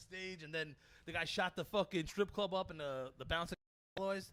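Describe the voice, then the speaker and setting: A man with a Brooklyn accent talks at a high pitch and a fairly quick pace. His tone is bright, sharp and animated. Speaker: comedian. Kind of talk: casual chat.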